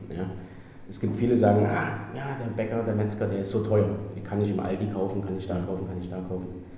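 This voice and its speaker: A man talking very fast in a flat monotone at a fairly low pitch, with audible room echo and noticeable background noise. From Germany, Gera (Thuringia). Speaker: hotel manager. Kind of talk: interview. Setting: hotel manager's office.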